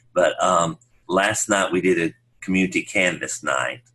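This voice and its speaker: This is a man speaking. He talks with a Southern US accent. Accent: rural Southern country. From US South, upstate South Carolina. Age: 60s. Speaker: pastor. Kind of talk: casual interview chat.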